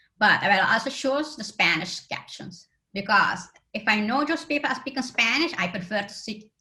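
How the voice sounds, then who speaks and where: A woman with a non-native accent speaks at a moderate pace and a fairly high pitch. Her tone is bright and sharp, with lively intonation. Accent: foreign accent in English. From Aruba. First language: Papiamento. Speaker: accessibility conference speaker. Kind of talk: conference talk.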